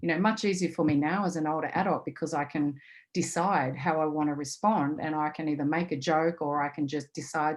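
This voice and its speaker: A woman's voice, fairly low in pitch, at a fairly quick pace. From Australia, rural Victoria. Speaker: intercountry adoptee advocate. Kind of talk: webinar panel talk.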